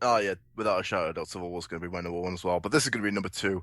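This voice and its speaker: A man with a Welsh accent, a very deep, low pitch and a very fast pace, over a quiet background. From Wales. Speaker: panelist. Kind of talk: casual chat.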